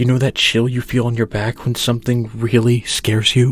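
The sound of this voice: An unforced reading voice carries the passage.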